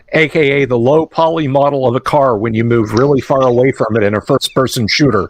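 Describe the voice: The speech is plain reading aloud, and its pitch variation is ordinary.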